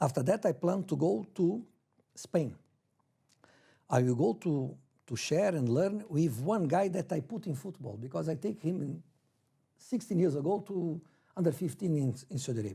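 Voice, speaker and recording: Speaking with lively intonation and vocal fry, a man with a fairly high pitch and a dark, mellow tone leaves long, frequent pauses on a very clean recording with a silent background. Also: moderate pace. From Brazil, then Portugal from age 11. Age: 60s. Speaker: football coach. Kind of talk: interview. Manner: halting non-native English.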